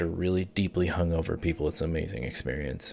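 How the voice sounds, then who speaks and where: A man talks at a very fast pace in an American accent. Vocal fry runs through his voice. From US Ohio. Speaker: streamer. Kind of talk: casual chat.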